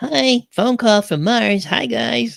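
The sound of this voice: Put-on character voice at a middle pitch with very wide pitch swings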